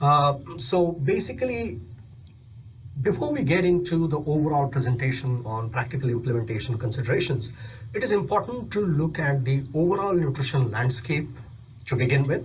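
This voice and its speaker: In a room with audible echo, a man with a fairly high pitch speaks somewhat breathily at a moderate pace, with lively intonation. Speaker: nutrition specialist. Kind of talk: recorded presentation.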